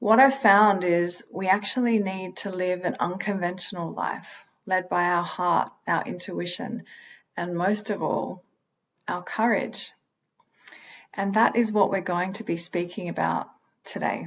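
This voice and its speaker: Fairly slow speech comes in an Australian accent. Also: woman, medium pitch for a woman, ordinary pitch variation. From Australia, Sydney. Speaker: holistic psychologist, speaker. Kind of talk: motivational talk.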